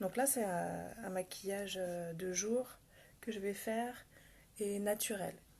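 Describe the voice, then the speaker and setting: At a very slow pace with long, frequent pauses, a woman speaks at a medium pitch, keeping her intonation fairly even and her loudness very even. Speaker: makeup vlogger. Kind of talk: live makeup tutorial. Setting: home livestream, early morning. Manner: soft-spoken; casual, chatty.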